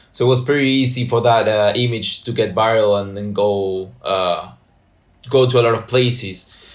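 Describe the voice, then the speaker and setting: A man's voice at medium pitch and a moderate pace. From Argentina, Buenos Aires. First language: Spanish. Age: 20s. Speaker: graphic designer.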